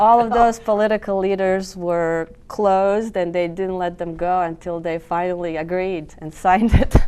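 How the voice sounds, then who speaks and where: Noticeable background noise sits under a woman's medium-pitched voice. She speaks with fairly even intonation and hardly any pauses. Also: moderate pace. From Bosnia and Herzegovina (Mostar). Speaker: cultural club member. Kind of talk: TV interview.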